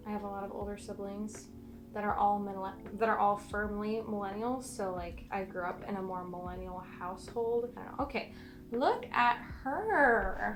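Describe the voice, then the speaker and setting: A soft-spoken, mumbling woman at a medium pitch and moderate pace, with ordinary pitch variation, big swings in loudness and audible room echo. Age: 20s. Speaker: plant content creator. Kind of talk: casual chat. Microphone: poor mic, camera far away.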